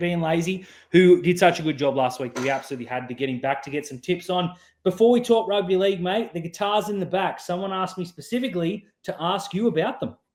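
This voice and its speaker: Lively intonation marks this very fast-paced delivery in an Australian accent. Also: man, high pitch for a man. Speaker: podcast host. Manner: casual, relaxed.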